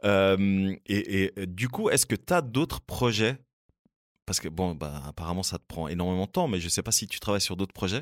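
In a very clean recording with a silent background and a dry, close sound with no echo, a man with an unremarkable speaking voice talks at a moderate pace, fairly low in pitch with ordinary pitch variation. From Switzerland, Fribourg. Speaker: podcast host. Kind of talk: casual chat. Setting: studio.

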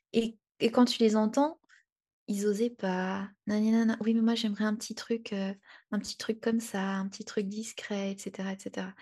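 In a quiet background, a woman speaks very slowly in a monotone, flat intonation, her fairly high voice somewhat breathy with a dark, mellow tone. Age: 20s. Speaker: freelance graphic designer. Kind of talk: casual interview chat. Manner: hesitant, many fillers.

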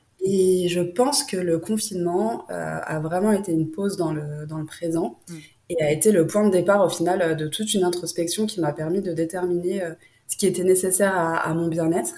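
A woman with a fairly low pitch speaks at a moderate pace and with fairly even intonation. Noticeable background noise runs under her voice. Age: 20s. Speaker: entrepreneur. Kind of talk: interview.

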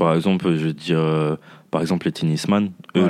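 With a quiet background, a man talks at a fairly quick pace in a very deep, low pitch and monotone, flat intonation. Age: 30s. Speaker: fitness coach. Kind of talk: casual chat.

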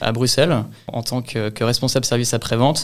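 A man's medium-pitched voice at a moderate pace. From Normandy, Le Havre. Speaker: real estate asset management analyst. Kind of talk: interview testimony. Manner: hesitant, repeats words.

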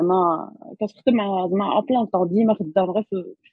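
This woman has a normal speaking voice. Its medium pitch moves with ordinary variation. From Morocco, Rabat. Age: young. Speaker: social entrepreneur and doctoral researcher. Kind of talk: interview. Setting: remote recording.

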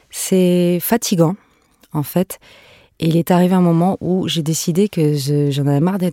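This woman has an unremarkable speaking voice with a fairly low pitch, talking at a fairly slow pace with fairly even intonation in a dry, close sound with no echo. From France and Venezuela. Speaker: singer and musician. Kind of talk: interview.

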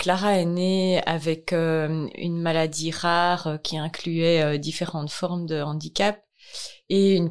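Very slowly, a woman talks at a fairly low pitch with fairly even intonation. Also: quiet background. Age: 40s. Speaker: massage therapist and charity founder. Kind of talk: testimony. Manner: hesitant, many fillers.

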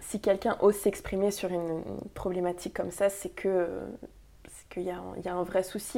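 A woman talks very slowly in a dark, mellow tone. Her pitch is medium and her intonation fairly even. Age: 20s. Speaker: inclusive communication consultant. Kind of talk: casual interview. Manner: hesitant, many fillers.

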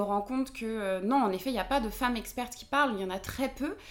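A woman speaks with a fairly high pitch. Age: 20s. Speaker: podcaster and feminist content creator. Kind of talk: casual interview. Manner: halting, many fillers.

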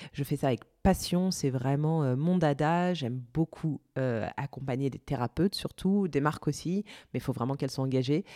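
On a very clean recording with a silent background and a dry, close sound with no echo, a woman speaks at a moderate pace with a very deep, low pitch, a dark, mellow tone and ordinary pitch variation. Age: 30s. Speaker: podcaster. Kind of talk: interview.

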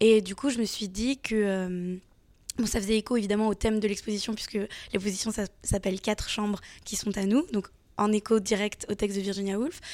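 With a plain, everyday voice, a woman speaks at a medium pitch and a fairly quick pace with fairly even intonation on a very clean recording with a silent background. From France. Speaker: comics author. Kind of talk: interview. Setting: festival.

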